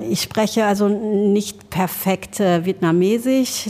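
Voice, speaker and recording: The voice moves at a very slow pace with ordinary pitch variation. Noticeable background noise runs underneath. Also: woman. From Germany, Trier region (born in Laos). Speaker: restaurant owner. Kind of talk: interview.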